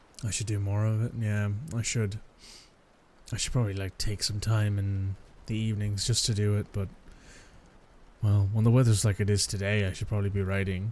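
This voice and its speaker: Soft-spoken and somewhat breathy, a man with an Irish accent speaks at a fairly quick pace in a fairly low, calm voice, his intonation monotone and flat, with long, frequent pauses. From Ireland. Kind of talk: ASMR boyfriend roleplay, casual talk. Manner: soft-spoken, calm.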